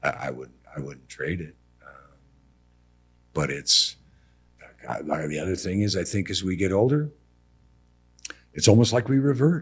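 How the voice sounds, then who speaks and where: A man with a fairly low voice and vocal fry speaks at a moderate pace in an animated tone. His pitch swings very widely, and he leaves long, frequent pauses. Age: 60s. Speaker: building contractor. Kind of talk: casual chat. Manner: animated storytelling.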